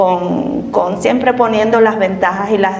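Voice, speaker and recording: A woman speaks at a fairly slow pace with ordinary pitch variation. The recording has audible room echo and noticeable background noise. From Cuba. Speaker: immigrant interviewee. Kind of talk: interview.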